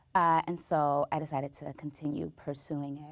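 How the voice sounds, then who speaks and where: With an American accent, a woman speaks at a very slow pace in a very deep, low pitch and a monotone, flat intonation. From US West Coast, Inglewood, California. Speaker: stand-up comedian and actress. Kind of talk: interview. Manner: halting, with repetitions and blocks.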